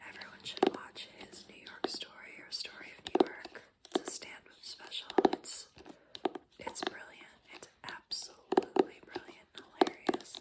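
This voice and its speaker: The voice is a whisper at a fairly slow pace. Background noise is noticeable throughout. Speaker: ASMR content creator. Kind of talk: ASMR whisper book haul. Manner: whispered, soft-spoken.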